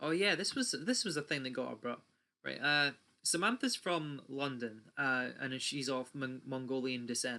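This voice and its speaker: In a British accent, a man talks at a moderate pace with a fairly high pitch and a bright, sharp tone on a very clean recording with a silent background. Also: ordinary pitch variation. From UK. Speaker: YouTuber. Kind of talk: rant. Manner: animated.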